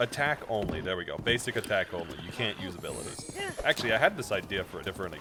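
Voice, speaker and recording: The background noise is noticeable. A man talks at a very fast pace. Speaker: video game streamer. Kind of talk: casual livestream chat.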